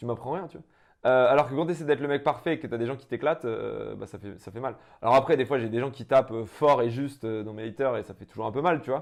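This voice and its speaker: A man's medium-pitched voice at a very fast pace, with ordinary pitch variation and big swings in loudness, over a quiet background. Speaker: entrepreneur. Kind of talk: interview.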